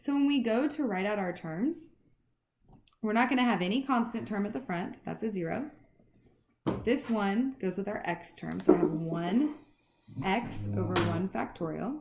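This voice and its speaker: With audible room echo, a woman speaks in vocal fry with very wide pitch swings and long, frequent pauses. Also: medium pitch for a woman. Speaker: math teacher. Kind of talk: lecture. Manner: fast.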